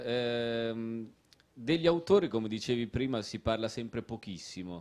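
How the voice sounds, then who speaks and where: A man speaks in a plain, everyday voice at medium pitch. He goes at a fairly slow pace with ordinary pitch variation. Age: 30s. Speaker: author; guest. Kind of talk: casual chat. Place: stage. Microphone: handheld.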